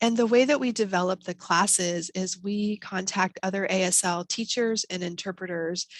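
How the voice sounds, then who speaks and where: In a dry, close recording with no echo, a woman with an unremarkable speaking voice talks at a medium pitch with ordinary pitch variation. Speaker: college program presenter. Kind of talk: webinar presentation. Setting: video call.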